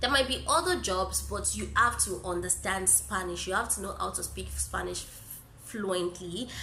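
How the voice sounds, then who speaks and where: The speech comes at a moderate pace with audible room echo and noticeable background noise. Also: woman. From Nigeria. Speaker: YouTuber and English teacher. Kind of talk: casual vlog Q&A.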